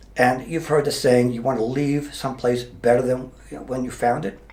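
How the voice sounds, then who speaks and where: Medium in pitch, a man talks at a fairly quick pace with fairly even intonation. Room echo is audible. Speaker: mayor, retired police officer. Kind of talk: interview. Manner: halting.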